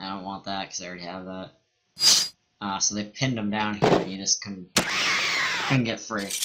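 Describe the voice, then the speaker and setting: A man speaks quietly at a fairly low pitch. His intonation is monotone and flat. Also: moderate pace, big swings in loudness. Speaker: let's play gamer. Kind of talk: gameplay commentary.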